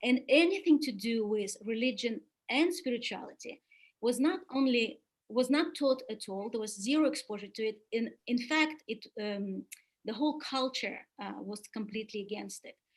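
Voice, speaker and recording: A high-pitched woman with a Russian accent speaks at a moderate pace, her intonation lively and her loudness swinging widely. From Soviet Union. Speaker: webinar speaker on spiritual development. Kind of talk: webinar talk. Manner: hesitant with many fillers.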